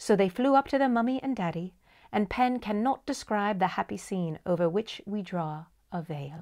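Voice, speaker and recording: A woman with a plain, everyday voice speaks at a medium pitch and a moderate pace, her intonation lively. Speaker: audiobook storyteller. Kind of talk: bedtime story reading.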